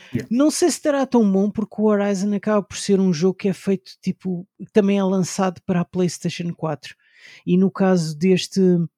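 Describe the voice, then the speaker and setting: A man speaks at a moderate pace with a high pitch and a dark, mellow tone. The sound is dry and close with no echo, and his pitch varies in an ordinary way. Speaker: video game podcaster. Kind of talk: casual chat.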